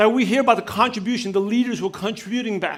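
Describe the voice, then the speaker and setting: An energetic man with an extremely high pitch. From New York (Brooklyn). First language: not English (English is third language). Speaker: business coach and speaker. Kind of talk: keynote speech. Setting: stage with audience. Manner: fast; energetic, direct.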